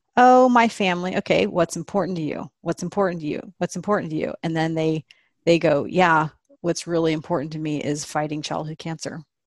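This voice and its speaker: A woman's ordinary speaking voice, fairly low-pitched and fairly quick, with ordinary pitch variation, in a dry, close sound with no echo over a quiet background. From Texas, Austin. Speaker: nonprofit fundraising entrepreneur. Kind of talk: interview conversation.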